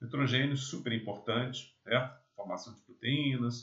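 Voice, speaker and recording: The pace is fairly slow. This is an unremarkable speaking voice. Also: man. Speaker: agronomy lecturer. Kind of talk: lecture.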